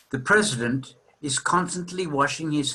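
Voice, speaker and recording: A man's bright, sharp, fairly high voice at a fairly slow pace, ordinary pitch variation, and audible room echo. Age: 60s. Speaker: psychotherapist lecturing at a seminar. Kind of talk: lecture.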